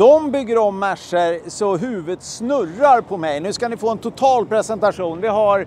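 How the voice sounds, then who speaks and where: A man with a Swedish accent speaks at a moderate pace with hardly any pauses. His voice is high for a man, with ordinary pitch variation. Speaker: car show host. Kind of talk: casual presenting. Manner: halting.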